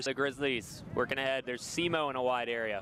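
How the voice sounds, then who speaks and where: Noticeable background noise runs under this recording. The man speaking has a medium pitch. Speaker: sports play-by-play broadcaster. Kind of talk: soccer play-by-play commentary.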